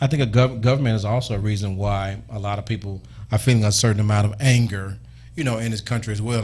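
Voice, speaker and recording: A man speaks at a very fast pace in a fairly low pitch. His voice is somewhat breathy, with fairly even intonation. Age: young. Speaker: radio talk show host. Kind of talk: call-in radio talk show.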